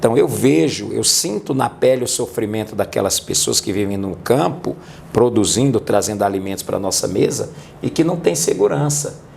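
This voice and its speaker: Background noise is noticeable throughout. The man's intonation is lively. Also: medium pitch for a man, moderate pace. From Brazil, rural Northeast. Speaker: police chief and city councillor. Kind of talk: interview on public security.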